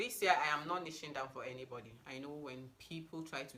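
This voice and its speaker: A woman with a Nigerian accent speaks at a moderate pace in a bright, sharp tone with ordinary pitch variation. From Nigeria, Abuja (FCT), North Central. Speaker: beauty and lifestyle YouTuber. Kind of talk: casual get-to-know-me vlog. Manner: animated.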